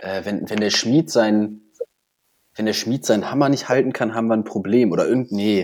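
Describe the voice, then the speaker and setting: This man has a plain, everyday voice, fairly low in pitch with ordinary pitch variation. He speaks at a moderate pace. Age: 20s. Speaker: podcast co-host, parliamentary staffer. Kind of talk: casual chat. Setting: at home in front of PC.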